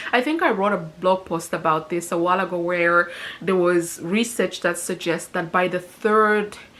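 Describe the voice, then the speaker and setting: Noticeable background noise sits behind a woman speaking at a moderate pace. Her pitch is fairly low and her intonation fairly even. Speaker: personal finance vlogger. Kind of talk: casual vlog talking to camera. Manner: mumbling.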